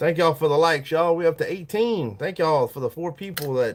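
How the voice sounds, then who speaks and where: In a Southern US accent, a man speaks at a high pitch with ordinary pitch variation, on a very clean recording with a silent background. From US South. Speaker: livestreamer, fishing lure maker. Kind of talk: casual live stream chat.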